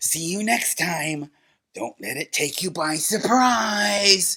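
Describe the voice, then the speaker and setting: A cartoonish character voice moves at a very slow pace. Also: man, high pitch for a man. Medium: puppet show. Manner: wry, teasing.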